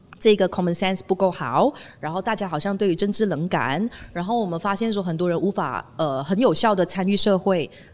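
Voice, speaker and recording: This woman has a normal speaking voice at a medium pitch, with ordinary pitch variation and a fairly quick pace. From Malaysia. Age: 30s. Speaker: former radio DJ, media founder. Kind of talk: casual chat. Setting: on location.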